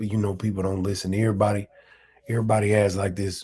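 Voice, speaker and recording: Fairly low in pitch, a man speaks in a dark, mellow, somewhat breathy tone with monotone, flat intonation. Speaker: commentary vlogger. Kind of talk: casual monologue commentary. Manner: casual, clipped speech; halting, repeats words.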